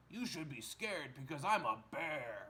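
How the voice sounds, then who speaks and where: In a put-on character voice, a man speaks at a moderate pace and a fairly high pitch. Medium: read story. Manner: earnest, defensive.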